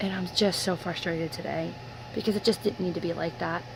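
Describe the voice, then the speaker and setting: Noticeable background noise sits under speech at a very fast pace with ordinary pitch variation. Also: woman. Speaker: vlogger. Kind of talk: personal video diary. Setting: in her room. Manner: animated.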